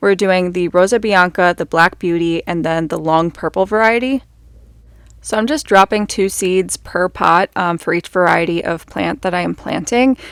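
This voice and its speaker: A woman's medium-pitched voice with ordinary pitch variation, on a very clean recording with a silent background and a dry, close sound with no echo. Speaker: gardening vlogger. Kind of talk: voiceover narration. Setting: recorded voiceover at home. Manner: fast; casual, filler words.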